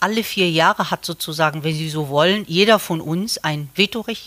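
At a moderate pace, a woman talks in a plain, everyday voice, fairly low in pitch with ordinary pitch variation and a dry, close sound with no echo. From Morocco. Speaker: civil engineering professor. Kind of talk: interview.

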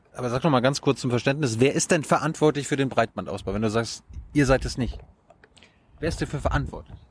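Talking at a very fast pace yet with long, frequent pauses, a man speaks with vocal fry. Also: medium pitch for a man, ordinary pitch variation. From Mecklenburg-Vorpommern. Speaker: journalist interviewer. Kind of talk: interview. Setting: outdoors on a rooftop.

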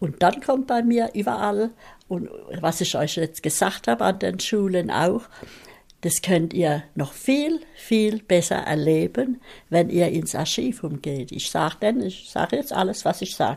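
A woman speaks at a fairly slow pace with a fairly low pitch and vocal fry. Her pitch swings very widely. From Mannheim, Germany. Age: 90s. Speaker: contemporary witness. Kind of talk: interview testimony. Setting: at home. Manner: lively.

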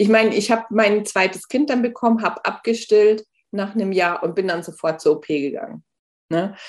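Speaking at a moderate pace in a plain, everyday voice, a woman keeps a medium pitch with ordinary pitch variation. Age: 40s. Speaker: author and lipedema patient. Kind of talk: casual interview.

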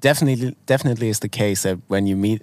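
This very clean recording with a silent background carries a voice in a German accent. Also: man. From Germany. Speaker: podcast co-host. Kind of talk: casual chat. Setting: outdoors.

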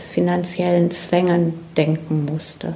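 The speech comes at a very slow pace with monotone, flat intonation. Noticeable background noise and audible room echo fill the recording. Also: woman. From Ruhr area, Germany (Herne). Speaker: environmental educator. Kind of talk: interview. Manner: hesitant, many fillers.

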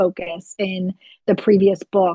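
This woman has an American accent. There is a somewhat breathy quality to her speech. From Florida, US. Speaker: self-published author. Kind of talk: interview. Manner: frequent filler ums, hesitant.

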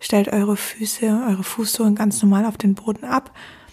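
A woman with a plain, everyday voice, a fairly high pitch and a fairly slow pace. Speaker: podcast host guiding a meditation. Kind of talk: guided meditation. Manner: slow, calm and soothing, with long pauses.

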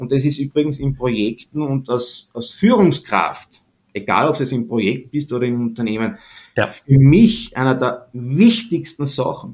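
At a moderate pace, a man with a medium-pitched voice speaks with lively intonation. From Austria. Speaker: entrepreneur and positioning consultant. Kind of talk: interview. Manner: relaxed, casual.

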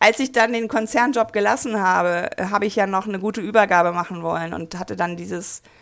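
A woman's medium-pitched voice, a normal speaking voice, at a moderate pace with ordinary pitch variation, in a very clean recording with a silent background. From rural Germany. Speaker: mobility activist and author. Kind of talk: interview.

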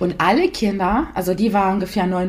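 An Italian accent marks the speech. Noticeable background noise runs underneath. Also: woman. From Italy. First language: Italian (speaking German). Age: 30s. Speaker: mother of two. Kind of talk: podcast interview. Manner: hesitant, many fillers.

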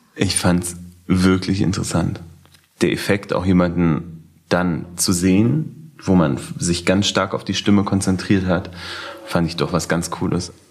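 A man's very deep, low voice at a fairly slow pace, with ordinary pitch variation and music in the background. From Berlin (Schöneberg). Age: 20s. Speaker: blind date participant. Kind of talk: casual chat.

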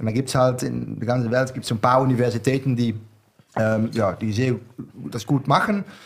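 A man with a Dutch accent speaks at a moderate pace in a medium pitch. His intonation is fairly even, with long, frequent pauses. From southern Netherlands. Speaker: wine bar owner. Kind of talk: casual chat. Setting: studio.

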